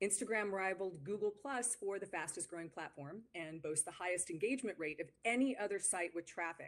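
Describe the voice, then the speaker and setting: The woman talks at a fairly quick pace with hardly any pauses. Her pitch is medium, with ordinary variation. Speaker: marketing consultant. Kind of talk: webinar presentation. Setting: live webinar. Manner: fast.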